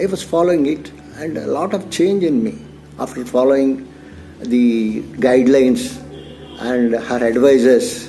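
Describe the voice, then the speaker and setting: With noticeable background noise behind him, a man of medium pitch speaks at a fairly slow pace with long, frequent pauses. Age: 60s. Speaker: retired security officer. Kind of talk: testimonial interview.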